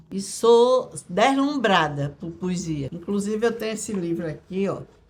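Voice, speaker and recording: A woman talks at a fairly slow pace with lively intonation. Noticeable background noise runs behind her. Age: 70s. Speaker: retired schoolteacher, interviewee. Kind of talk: documentary interview. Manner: halting, with repetitions.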